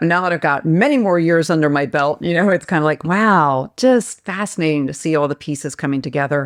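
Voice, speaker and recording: On a very clean recording with a silent background, a woman uses an ordinary speaking voice at a fairly low pitch, with ordinary pitch variation and a fairly quick pace. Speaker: life coach and healer. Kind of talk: podcast interview answer.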